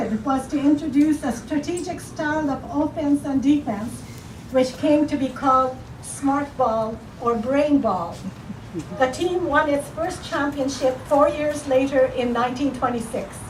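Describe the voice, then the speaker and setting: Against noticeable background noise, the voice moves at a fairly slow pace with ordinary pitch variation. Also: woman, high pitch for a woman. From Japanese Canadian. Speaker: museum curator. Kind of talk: ceremony speech. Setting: outdoors.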